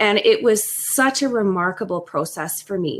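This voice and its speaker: A woman in a Western Canadian accent at a moderate pace, with ordinary pitch variation. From Western Canada, Alberta (French Canadian). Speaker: podcast co-host. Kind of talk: casual chat.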